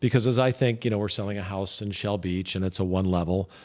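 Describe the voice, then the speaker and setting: A man with a fairly low voice talks at a fairly quick pace with an American accent. He has a plain, everyday voice, and the recording is very clean with a silent background. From Idaho. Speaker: real estate agent and podcast host. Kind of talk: casual podcast discussion.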